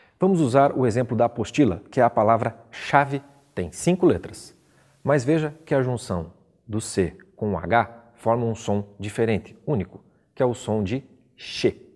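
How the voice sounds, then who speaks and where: His intonation is lively while his pace is fairly slow. The speaker is a man with a medium pitch. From Brazil, Curitiba (Paraná). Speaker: teacher. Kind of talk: lecture.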